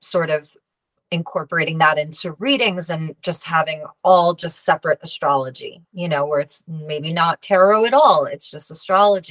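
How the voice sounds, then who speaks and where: In an American accent, a woman with a fairly low pitch and a normal speaking voice talks at a moderate pace. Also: dry, close sound with no echo. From US Northeast, Long Island, New York. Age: 40s. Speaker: tarot reader and healer. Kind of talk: interview.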